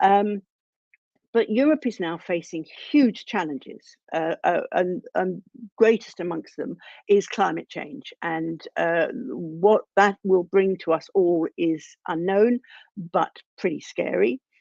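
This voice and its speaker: A woman's medium-pitched voice with lively intonation, at a very slow pace, in a dry, close sound with no echo. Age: 70s. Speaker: former member of the European Parliament. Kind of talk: panel talk. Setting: online event video call. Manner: halting, many fillers.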